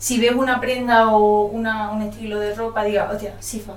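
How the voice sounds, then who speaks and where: A woman's fairly high-pitched voice at a moderate pace, with audible room echo and noticeable background noise. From Ceuta, Spain, Moroccan family. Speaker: sociology student. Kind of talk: casual interview.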